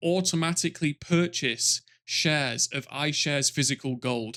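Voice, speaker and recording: Very cleanly recorded over a silent background, a man with a British accent has a bright, sharp tone, fairly high pitch with ordinary variation, and a dry, close sound with no echo. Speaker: finance YouTuber. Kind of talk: product review monologue. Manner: animated.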